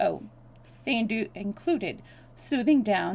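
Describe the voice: What we hear is someone doing plain reading aloud.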